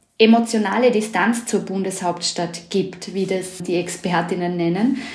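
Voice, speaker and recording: A woman speaks with audible room echo. Noticeable background noise can be heard as well. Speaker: political journalist. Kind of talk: interview.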